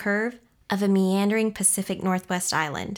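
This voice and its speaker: An unremarkable speaking voice carries the words along at a moderate pace. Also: woman. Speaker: story reader. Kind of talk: reading aloud a story.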